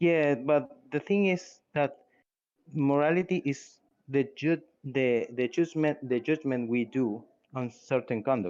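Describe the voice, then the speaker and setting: With a non-native accent, a man speaks very slowly at a fairly high pitch. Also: ordinary pitch variation. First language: Spanish. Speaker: atheist community member. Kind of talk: heated debate. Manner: halting.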